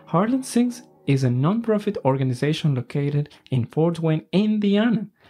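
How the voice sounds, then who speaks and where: In a Spanish accent, a man speaks at a moderate pace with a fairly high pitch and a dark, mellow tone. His intonation is lively against a quiet background. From Ecuador. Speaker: podcast host and opera singer. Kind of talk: casual interview, bilingual English/Spanish; scripted show intro.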